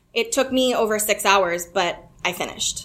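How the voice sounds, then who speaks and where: Fairly high in pitch, a woman speaks in an ordinary speaking voice with ordinary pitch variation. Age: 30s. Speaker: actress and storyteller. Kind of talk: reading own story aloud.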